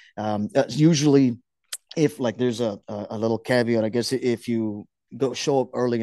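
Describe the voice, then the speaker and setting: A man with a plain, everyday voice talks at medium pitch and a fairly quick pace. The background is quiet. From Houston, Texas (South Park), Mexican-American family. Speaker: soccer supporter group leader. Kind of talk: casual podcast interview.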